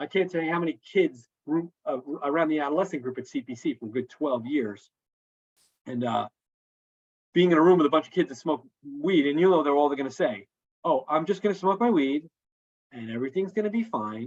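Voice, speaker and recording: Lively intonation marks a man's fairly high-pitched voice at a fairly quick pace. He leaves long, frequent pauses. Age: 50s. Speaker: counselor presenting to school counselors. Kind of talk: live presentation. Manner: fast; casual, halting with repetitions.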